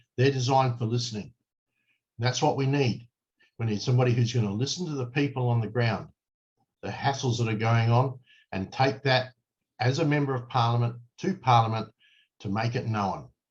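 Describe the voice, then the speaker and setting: Speaking at a fairly quick pace yet taking long, frequent pauses, a somewhat breathy man with an Australian accent keeps a medium pitch and fairly even intonation. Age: 60s. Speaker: political candidate. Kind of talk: campaign address to camera. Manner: earnest, emphatic.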